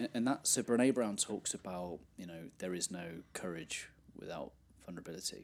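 Speaking at a moderate pace, a man with a very deep, low pitch uses ordinary pitch variation and big swings in loudness. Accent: English. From England. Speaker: life coach and podcaster. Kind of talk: interview.

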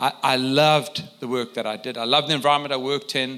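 At a very fast pace, a man speaks with a bright, sharp tone in a medium pitch. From South Africa. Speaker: missionary and church leader. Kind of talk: interview testimony in a church gathering.

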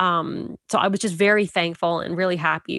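Speaking at a fairly quick pace, a woman with a fairly low pitch and a bright, sharp tone keeps her intonation fairly even, in a dry, close sound with no echo. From Canada. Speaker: mother sharing birth story. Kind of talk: testimony.

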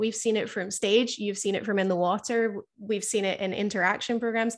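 A woman with an ordinary speaking voice talks at a moderate pace in a fairly high pitch with ordinary pitch variation against a quiet background. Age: 20s. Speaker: podcast host and killer whale trainer. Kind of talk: interview.

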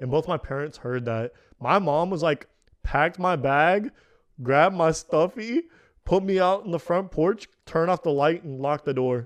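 A man's fairly high voice with an American accent, an ordinary speaking voice with ordinary pitch variation at a moderate pace, over a quiet background. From Kazakhstan, adopted to the US as a child. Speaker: podcast host. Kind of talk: casual chat.

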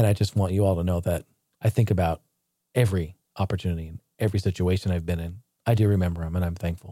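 A man with a very deep, low pitch and a dark, mellow tone speaks very fast and somewhat breathily on a very clean recording with a silent background. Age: 30s. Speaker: YouTuber and retro gaming podcast host. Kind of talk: solo retrospective monologue. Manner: animated.

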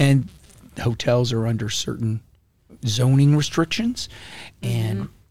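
A somewhat breathy man with an American accent speaks with long, frequent pauses. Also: medium pitch for a man, fairly even intonation, fairly slow pace. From Florida. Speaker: county commissioner and politician. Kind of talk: casual interview. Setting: live podcast at a conference. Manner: halting, with frequent repetitions.

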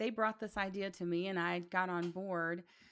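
Woman with a Tennessee accent at a fairly slow pace, on a very clean recording with a silent background. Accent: Southern US (Tennessee). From US South, Chattanooga, Tennessee. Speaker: podcaster and political activist. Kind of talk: interview conversation.

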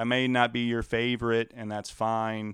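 A man with a slight Louisiana accent speaks at a medium pitch. The sound is dry and close with no echo, on a very clean recording with a silent background. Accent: slight Louisiana Southern. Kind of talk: casual chat about tabletop games.

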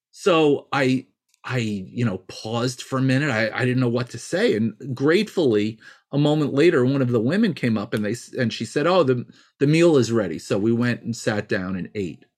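Over a quiet background, a man with a plain, everyday voice and a medium pitch speaks with lively intonation. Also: moderate pace. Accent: American. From New York. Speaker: healer and cultural anthropologist. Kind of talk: interview storytelling.

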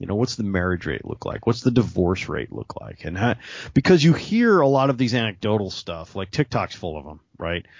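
A man with a fairly low pitch and vocal fry speaks at a fairly quick pace, his pitch swinging very widely and his loudness shifting greatly. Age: middle-aged. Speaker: podcast co-host. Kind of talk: casual chat.

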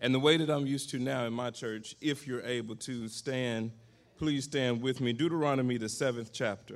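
A man with an ordinary speaking voice, medium in pitch, at a moderate pace with fairly even intonation. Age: 40s. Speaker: pastor. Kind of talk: sermon.

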